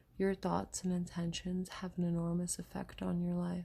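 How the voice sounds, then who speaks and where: Soft-spoken woman with a gentle tone at a moderate pace. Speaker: oracle card and crystal healing reader. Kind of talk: oracle card reading / channeled healing guidance. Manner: soft-spoken, gentle.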